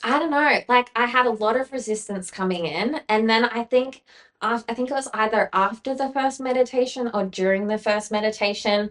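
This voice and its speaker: A woman speaks with an Australian accent at a moderate pace. Her fairly high pitch shows ordinary variation. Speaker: former DJ, podcast guest. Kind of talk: casual interview chat, personal story. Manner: loud; valley-girl style, many fillers.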